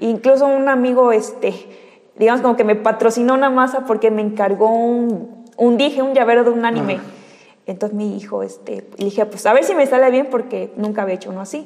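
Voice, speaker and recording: Noticeable noise sits behind the speech, and the intonation stays fairly even. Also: woman, fairly high pitch for a woman, fairly quick pace. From Yucatán, Mexico. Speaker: cosplayer and anime fan. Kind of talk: casual interview.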